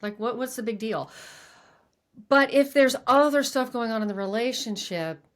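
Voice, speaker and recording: In a very clean recording with a silent background, a woman talks with a fairly high pitch in a plain, everyday voice. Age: 60s. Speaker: podcast host and former coach. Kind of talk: casual interview conversation.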